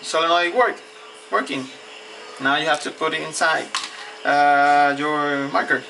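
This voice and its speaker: A man speaks at a fairly slow pace with a fairly high pitch. Noticeable background noise can be heard. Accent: Spanish. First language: Spanish. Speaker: hobbyist tinkerer. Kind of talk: tutorial. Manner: halting.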